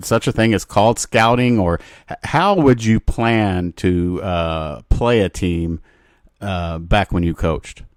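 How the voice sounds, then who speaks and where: Over a very clean recording with a silent background, a man talks at a very slow pace in a fairly low pitch. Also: ordinary pitch variation, dry, close sound with no echo. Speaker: podcast host. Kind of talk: interview question.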